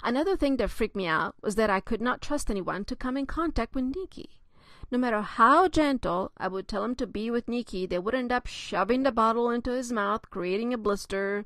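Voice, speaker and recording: Lively intonation and a fairly quick pace mark this speaker with a non-native accent, heard against a quiet background. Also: woman, high pitch for a woman. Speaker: author; mother of a child with a skin disease. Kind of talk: memoir reading.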